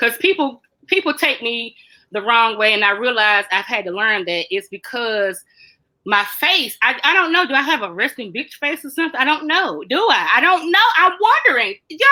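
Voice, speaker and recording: A loud woman speaks at a moderate pace in an animated, bright and sharp tone, her high pitch making very wide swings. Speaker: mental health talk host. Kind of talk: casual chat.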